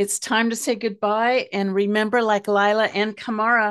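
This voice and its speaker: Against a quiet background, a normal speaking voice talks at a fairly slow pace. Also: woman. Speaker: radio host. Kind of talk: interview.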